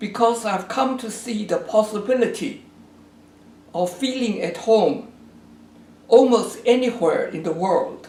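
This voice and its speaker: Amid noticeable background noise and audible room echo, a man with a Chinese accent talks very slowly at an extremely high pitch, with long, frequent pauses, big swings in loudness and ordinary pitch variation. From China. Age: 80s+. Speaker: geography professor. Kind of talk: recorded address to an event. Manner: formal.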